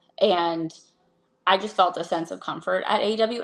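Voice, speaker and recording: A woman with an unremarkable speaking voice and fairly low pitch speaks at a moderate pace with fairly even intonation against a quiet background. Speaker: AEW ring announcer. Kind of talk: podcast interview answer.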